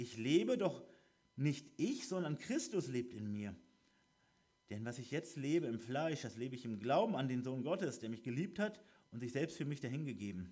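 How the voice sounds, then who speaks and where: Lively intonation marks this man's speech. His voice is medium in pitch, with a dark, mellow tone. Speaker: preacher. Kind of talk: sermon; fervent prayer. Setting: church. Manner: earnest, devout, slower and heartfelt.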